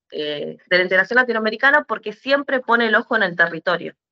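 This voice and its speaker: Bright, sharp tone from a woman, the sound dry and close without any echo. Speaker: muralist. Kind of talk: panel discussion. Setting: online event. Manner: hesitant, many fillers.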